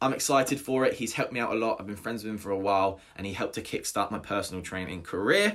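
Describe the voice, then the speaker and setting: A man with a southern English accent on a very clean recording with a silent background. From southern England, Hampshire. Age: 20s. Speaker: personal trainer and podcast host. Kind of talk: solo podcast monologue. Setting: home recording without studio equipment.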